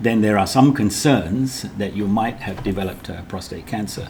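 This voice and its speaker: With a British accent, a man speaks at a moderate pace in a fairly low pitch, his intonation lively. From Britain. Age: 70s. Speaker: cancer survivor. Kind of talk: interview.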